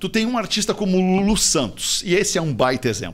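A man with a fairly high pitch. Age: 50s. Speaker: radio broadcaster and executive. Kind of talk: casual chat.

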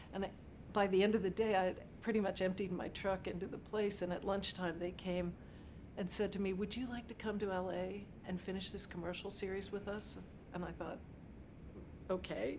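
Noticeable background noise sits behind a woman whose monotone, flat delivery is broken by long, frequent pauses. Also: moderate pace. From Pittsburgh, Pennsylvania. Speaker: set decorator. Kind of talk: interview monologue. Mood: warm, reflective. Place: office.

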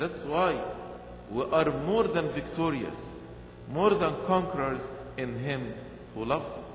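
Lively in intonation, a man with a fairly high pitch speaks at a fairly slow pace, leaving long, frequent pauses. Room echo is audible, with light noise in the background. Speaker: bishop. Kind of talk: sermon. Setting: church. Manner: earnest, rhythmic preaching; repeats key phrases for emphasis. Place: church. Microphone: podium.

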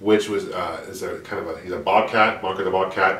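Audible room echo carries a man's fairly low voice as he talks at a fairly quick pace. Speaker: retro cartoon vlogger. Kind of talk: casual vlog chat.

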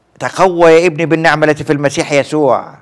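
A man's voice against a quiet background. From Egypt. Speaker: priest. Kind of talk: religious teaching on TV. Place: studio.

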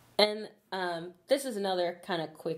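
At a fairly slow pace, a woman with an American accent talks with ordinary pitch variation. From Chicago. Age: 20s. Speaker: YouTuber; channel host. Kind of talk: casual chat. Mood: cheerful, relaxed. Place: office.

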